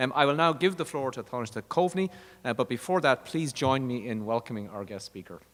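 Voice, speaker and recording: With an Irish accent, the speaker moves at a fairly quick pace with lively intonation and big swings in loudness. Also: man, medium pitch for a man. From Ireland. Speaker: university dean. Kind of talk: formal introduction.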